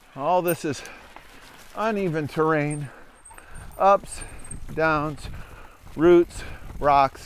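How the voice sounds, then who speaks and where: A man's fairly high voice at a very slow pace, with long, frequent pauses, fairly even intonation and noticeable background noise. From Upper Peninsula of Michigan. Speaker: mountain bike trail reviewer. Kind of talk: ride-along commentary. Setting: outdoors, riding a mountain bike. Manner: casual, conversational.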